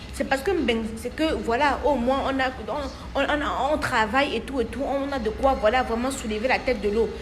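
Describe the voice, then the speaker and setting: With a Cameroonian accent, a woman speaks at a moderate pace and a high pitch. Audible room echo and noticeable background noise fill the recording. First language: Bamenjou (speaking French). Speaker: diaspora commentator. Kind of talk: casual monologue. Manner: animated.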